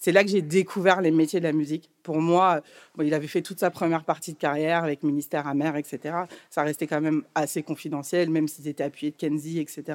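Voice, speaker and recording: A woman's very deep, low, monotone voice on a very clean recording with a silent background. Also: fairly quick pace. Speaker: record label executive. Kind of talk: interview conversation.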